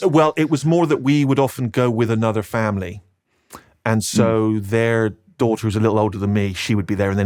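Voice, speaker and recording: A man speaks in a Bristol accent at a very fast pace. His pitch is fairly low, with ordinary variation. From Bristol, England. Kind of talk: podcast interview answer.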